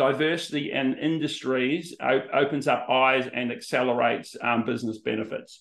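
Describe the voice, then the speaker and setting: A man speaks at a moderate pace with an Australian accent. The background is quiet. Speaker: business consultant; presenter hosting an information session. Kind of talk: presentation on a video call. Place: home room. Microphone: webcam.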